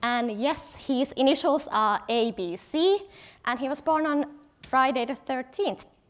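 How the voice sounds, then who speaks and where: With a Finnish accent, a woman speaks at a fairly slow pace in a high voice with lively intonation. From Finland, Helsinki. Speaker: product designer, conference speaker. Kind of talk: conference talk. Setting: stage with audience.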